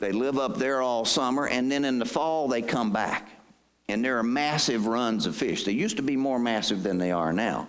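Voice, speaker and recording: A man with a Southern US accent speaks at a moderate pace and a medium pitch, with ordinary pitch variation. His loudness is very even, and room echo is audible. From southeast North Carolina. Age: 60s. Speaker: state pension agency head. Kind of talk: presentation to audience. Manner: conversational.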